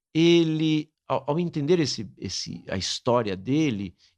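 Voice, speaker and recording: A man is speaking. His pitch swings very widely. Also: quiet background. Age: 60s. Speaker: priest and lecturer. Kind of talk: interview testimony.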